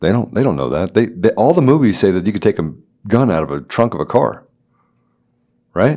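A man with an American accent and a fairly low pitch, dark, mellow tone and vocal fry moves at a fairly quick pace with very wide pitch swings and long, frequent pauses, on a very clean recording with a silent background. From Washington, D.C. area. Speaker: podcast guest host, company CEO. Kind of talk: casual interview chat. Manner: halting, many fillers and restarts.

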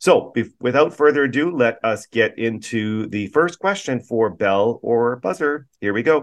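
A man talks in an ordinary speaking voice at a fairly slow pace. His intonation is lively, with hardly any pauses. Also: medium pitch for a man. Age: 50s. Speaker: podcast host and city councillor. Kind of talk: interview; quiz game hosting.

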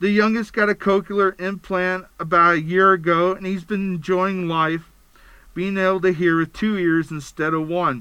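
In an American accent, a man speaks at a moderate pace with a raised, projected voice and a high pitch. His tone is bright and sharp, his intonation fairly even, and the background quiet. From Pennsylvania. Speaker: podcast host. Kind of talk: podcast monologue. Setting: studio.

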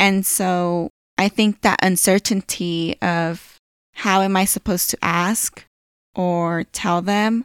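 Speaking at a very slow pace, a woman with a Californian accent keeps a medium pitch, fairly even intonation and very even loudness. The recording is very clean, with a silent background. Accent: Californian American English. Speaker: podcast host. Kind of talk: casual personal monologue.

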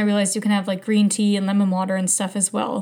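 Over noticeable background noise, a woman with a fairly high pitch talks at a very fast pace in an animated tone. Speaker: podcast host. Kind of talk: solo podcast monologue, casual chat. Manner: animated, laughs often.

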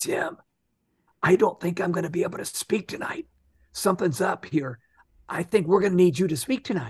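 A man puts on a raspy character voice, pitched high and with lively intonation. He talks at a fairly quick pace but leaves long, frequent pauses.

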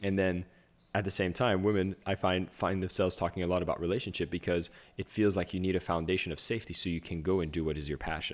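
Very deep and low in pitch, a man rattles along at a very fast pace with fairly even intonation. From Ottawa area, Canada. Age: 30s. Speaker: podcast host and speaker. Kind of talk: casual interview chat. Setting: video call.

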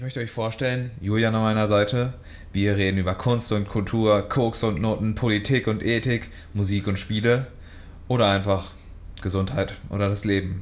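A man with an unremarkable speaking voice, fairly low-pitched, fairly even in intonation, at a moderate pace. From Münster, Westphalia, Germany. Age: 20s. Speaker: podcast co-host. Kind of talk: casual chat.

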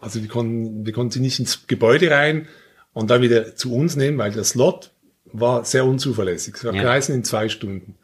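With ordinary pitch variation and a somewhat breathy quality, a man speaks at a moderate pace. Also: medium pitch for a man. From Switzerland, Basel. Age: 50s. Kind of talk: casual chat.

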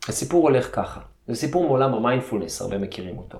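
Lively intonation from a medium-pitched man at a fairly quick pace, with audible room echo. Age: 40s. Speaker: martial arts coach. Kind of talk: guided meditation; interview.

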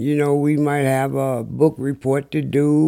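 A man's medium-pitched voice at a very slow pace, with noticeable background noise. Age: 60s. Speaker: unhoused recurring guest. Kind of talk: casual chat.

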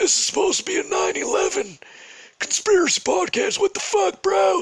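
A man uses a put-on character voice, raspy and extremely high in pitch. His pace is moderate. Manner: grumbling, indignant.

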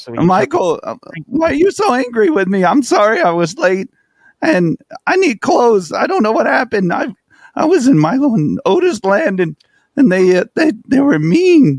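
The pitch swings very widely throughout. Delivery runs at a moderate pace with a dry, close sound and no echo. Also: man, extremely high pitch for a man. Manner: timid, rambling, apologetic.

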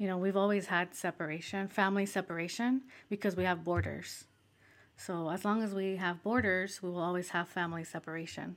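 A woman's normal speaking voice at medium pitch, fairly quick and fairly even in intonation, on a very clean recording with a silent background. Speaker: civil rights advocate. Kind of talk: casual conversational interview.

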